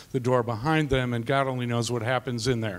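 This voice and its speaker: A man with an unremarkable speaking voice talks at a fairly quick pace. His pitch is medium and his intonation fairly even. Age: 60s. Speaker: math teacher. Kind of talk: panel discussion.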